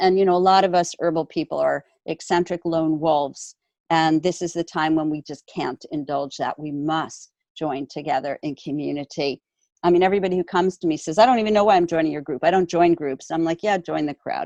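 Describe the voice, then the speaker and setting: A dark, mellow tone with ordinary pitch variation at a fairly quick pace, dry and close with no echo, over a quiet background. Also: woman. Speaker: herbalist keynote speaker. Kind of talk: keynote talk.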